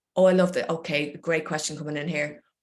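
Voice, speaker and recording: At a fairly quick pace, a woman with an Irish accent speaks in a fairly low pitch with ordinary pitch variation. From Ireland. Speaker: poet and creative coach. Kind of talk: online talk and Q&A. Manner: warm, encouraging.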